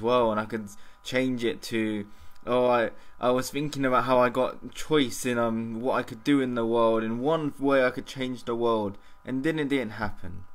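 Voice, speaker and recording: Keeping his intonation fairly even, a man speaks at a moderate pace. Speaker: vlogger. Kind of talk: casual vlog monologue. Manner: halting, stumbling over words.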